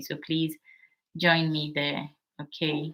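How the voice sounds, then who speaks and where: Her voice sits very deep and low for a woman, bright and sharp in tone, with monotone, flat intonation. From Ghana. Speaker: midwife and channel host. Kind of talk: live stream Q&A. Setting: live stream on TikTok.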